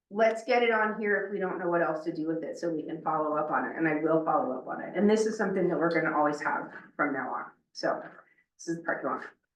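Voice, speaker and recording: The speech comes at a very fast pace with lively intonation, and room echo is audible. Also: woman, fairly low pitch for a woman. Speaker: meeting facilitator. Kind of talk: meeting facilitation. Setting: in-person meeting room with Zoom participants. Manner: loud; energetic.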